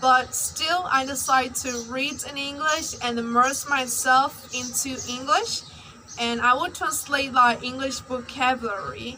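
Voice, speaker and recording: Against noticeable background noise and audible room echo, a woman uses a raised, projected voice at a high pitch, speaking at a fairly slow pace with fairly even intonation. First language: Burmese. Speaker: English learner vlogger. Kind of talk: personal vlog.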